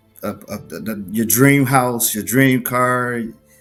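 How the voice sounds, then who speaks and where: Over music in the background, a man with an American accent talks very slowly at a medium pitch, his intonation fairly even. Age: 40s. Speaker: lawn care business owner. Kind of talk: podcast interview answer.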